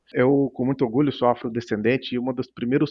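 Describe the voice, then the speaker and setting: A man's voice over a quiet background. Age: 50s. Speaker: tech company founder; guest. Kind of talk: interview. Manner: halting. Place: home room. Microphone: headset.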